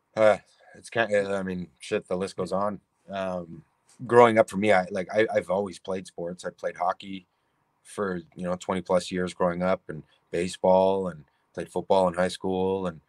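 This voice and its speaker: With a Canadian accent, a man with a very deep, low voice speaks at a moderate pace in monotone, flat intonation, his loudness swinging widely in a dry, close sound with no echo. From Canada, Toronto. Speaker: artist. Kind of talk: casual chat.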